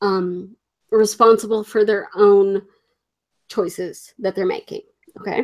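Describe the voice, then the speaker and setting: Close and dry with no echo, a woman's monotone, flat voice moves at a fairly slow pace with long, frequent pauses. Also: medium pitch for a woman. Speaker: livestream host. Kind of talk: casual chat.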